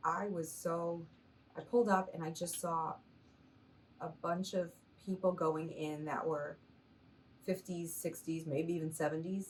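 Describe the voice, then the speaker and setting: With an American accent, a woman in an ordinary speaking voice talks at a moderate pace and a fairly low pitch. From Massachusetts. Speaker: stand-up comedian. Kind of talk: interview answer.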